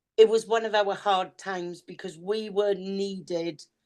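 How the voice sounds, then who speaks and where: Against a quiet background, a woman speaks in a Welsh accent with monotone, flat intonation. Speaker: podcast co-host, psychic reader. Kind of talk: casual chat.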